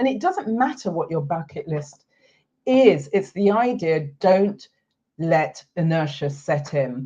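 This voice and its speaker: A dark, mellow, somewhat breathy voice moves at a very slow pace. Its pitch swings very widely. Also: woman, fairly low pitch for a woman. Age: 60s. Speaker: retirement lifestyle coach and video host. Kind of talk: talking-head explainer video.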